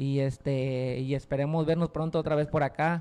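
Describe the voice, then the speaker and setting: A man's voice, dark and mellow in tone, keeps a fairly even intonation. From Mexico, Puerto Vallarta, Jalisco; Jalisco, Mexico. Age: 20s. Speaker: hip hop artist; guest. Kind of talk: interview. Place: studio. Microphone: handheld.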